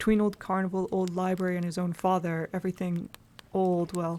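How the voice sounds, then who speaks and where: A soft-spoken delivery at a moderate pace, with long, frequent pauses. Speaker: streamer reading a novel aloud. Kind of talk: reading aloud. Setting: live stream.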